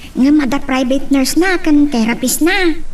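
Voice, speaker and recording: A woman's put-on character voice at a moderate pace, over clear background noise. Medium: audio drama. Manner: warm, jovial.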